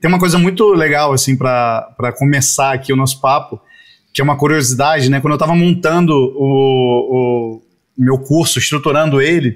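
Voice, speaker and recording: An unremarkable speaking voice at a fairly slow pace with fairly even intonation. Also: man. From Rio de Janeiro, Brazil (Jacarepaguá). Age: 40s. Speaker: advertising creative director. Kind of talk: casual interview.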